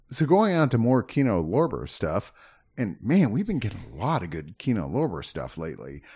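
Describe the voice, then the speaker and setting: There is vocal fry in a man's dark, mellow tone, and his pitch swings very widely. He speaks at a moderate pace against a quiet background. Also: medium pitch for a man. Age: 50s. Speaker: movie home-release reviewer. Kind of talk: casual chat.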